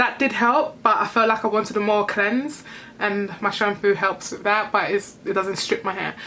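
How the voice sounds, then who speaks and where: A woman speaks at a fairly high pitch and a moderate pace with ordinary pitch variation, amid noticeable background noise and audible room echo. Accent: British. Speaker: beauty vlogger. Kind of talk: hair care tutorial vlog. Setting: home bathroom. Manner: rambling, casual.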